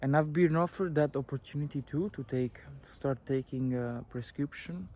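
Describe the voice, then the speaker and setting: Speaking at a moderate pace with an Italian accent, a man with a fairly high voice shows ordinary pitch variation and big swings in loudness, in a dry, close sound with no echo. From Italy. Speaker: vlogger sharing personal recovery story. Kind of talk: personal testimony. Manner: hesitant, many fillers.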